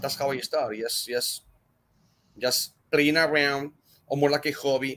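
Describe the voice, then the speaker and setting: A man with a Spanish accent speaks fairly slowly in a bright, sharp tone at a fairly high pitch, his intonation flat and monotone. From Spain. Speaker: cigar blender. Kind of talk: podcast interview.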